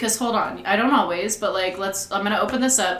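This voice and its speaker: Audible room echo and noticeable background noise fill the recording. A woman speaks with ordinary pitch variation. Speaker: podcast co-host. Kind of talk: casual chat.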